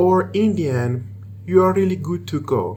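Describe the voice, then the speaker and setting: There is audible room echo and noticeable background noise as a man with an Iranian accent speaks. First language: Persian. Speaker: programmer and tech video maker. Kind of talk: tutorial. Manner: halting.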